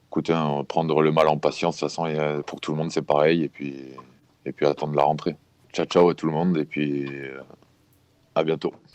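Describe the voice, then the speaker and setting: A man with a very deep, low voice talks at a fairly quick pace in a monotone, with long, frequent pauses. The sound is dry and close, with no echo. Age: 20s. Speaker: rugby player. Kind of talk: interview testimony. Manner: halting, many fillers and repetitions; casual.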